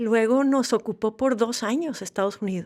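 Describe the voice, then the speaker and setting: The speaker has a northern Mexican accent. The pace is fairly slow. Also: woman, very clean recording, silent background. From Monterrey, northern Mexico. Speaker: novelist. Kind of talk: interview.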